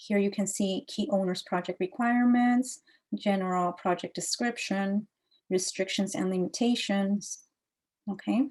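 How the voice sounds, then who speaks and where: A woman's somewhat breathy voice at medium pitch, fairly slow, with very even loudness and ordinary pitch variation. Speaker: green building consultant. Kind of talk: tutorial. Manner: halting.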